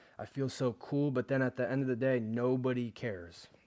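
A man's medium-pitched, a normal speaking voice at a moderate pace, on a very clean recording with a silent background. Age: 20s. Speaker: fitness podcast host. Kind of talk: casual monologue.

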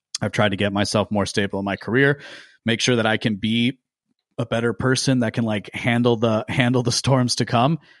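Over a quiet background, a man with a plain, everyday voice speaks at a fairly quick pace, his medium pitch held in fairly even intonation. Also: dry, close sound with no echo. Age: 20s. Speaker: podcaster and political writer. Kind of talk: casual chat.

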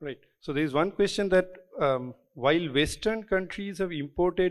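Lively intonation and a moderate pace from a man with an unremarkable speaking voice. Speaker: event moderator. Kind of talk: moderated Q&A session.

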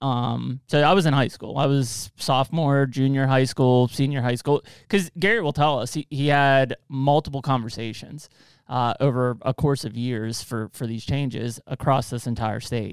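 A man speaks in an unremarkable speaking voice at a medium pitch with ordinary pitch variation. The recording is very clean with a silent background, its sound dry and close with no echo. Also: moderate pace. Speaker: podcast host. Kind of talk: casual interview.

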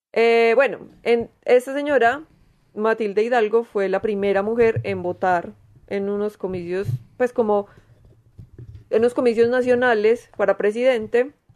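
A woman with a paisa Colombian accent talks at a fairly slow pace in a fairly high voice. She leaves long pauses often. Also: fairly even intonation. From Medellín, Colombia. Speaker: podcast co-host. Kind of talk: casual chat.

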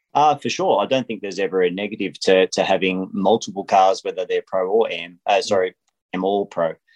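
Speaking at a fairly quick pace with an Australian accent, a man is heard against a quiet background. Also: dry, close sound with no echo. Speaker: racing driver. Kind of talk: interview. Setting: phone call. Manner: halting with fillers.

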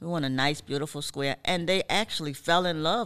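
The speaker has an American accent and ordinary pitch variation on a very clean recording with a silent background. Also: woman. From US South, Georgia coast (Savannah), Gullah Geechee community. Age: 60s. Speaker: historian and tour guide. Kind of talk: interview.

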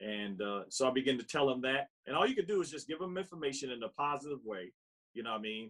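An unremarkable speaking voice from a man at medium pitch, with lively intonation. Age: 60s. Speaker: vegan lifestyle coach and author. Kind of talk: casual interview chat.

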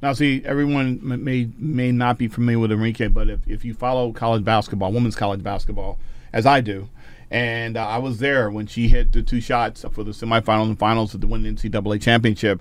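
In an American accent, a man speaks very fast at a medium pitch with fairly even intonation. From suburban New Jersey. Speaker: podcast host and educator. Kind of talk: interview conversation.

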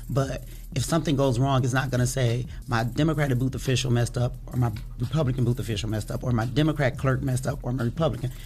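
Against audible room echo, a woman with a very deep, low pitch talks very fast in an American accent, keeping her intonation fairly even. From Toledo, Ohio. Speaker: elections official. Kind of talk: interview. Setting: studio.

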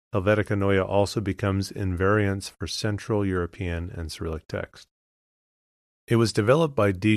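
Against a quiet background, a man uses a soothing, calm tone at a fairly low pitch with ordinary pitch variation. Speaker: podcast host. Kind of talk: reading aloud. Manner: slow.

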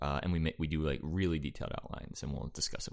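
The speaker has an American accent and vocal fry. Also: man. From Central New Jersey, East Brunswick. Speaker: screenwriter and improviser. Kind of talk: casual interview chat. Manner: halting, many fillers.

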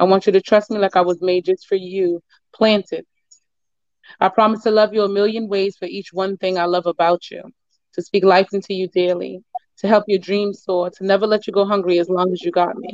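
A woman at a medium pitch, talking at a fairly quick pace. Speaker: poet. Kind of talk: spoken word poetry performance. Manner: excited, energetic.

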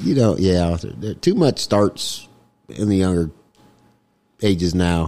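The voice has a dark, mellow tone and ordinary pitch variation. It moves at a very slow pace with long, frequent pauses. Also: man, very deep, low pitch for a man. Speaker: podcast co-host. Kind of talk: casual chat. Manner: jokey.

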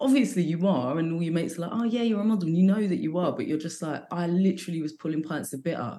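A woman with a London accent talks very fast with hardly any pauses, her fairly low voice dark and mellow in tone, with lively intonation. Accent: London English with some American words. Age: 40s. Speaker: comedian. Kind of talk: casual chat.

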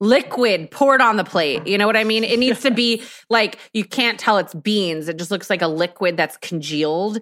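A woman speaks at a moderate pace with hardly any pauses and lively intonation. Hers is an unremarkable speaking voice at medium pitch. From Texas. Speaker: podcaster and content creator. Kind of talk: casual chat.

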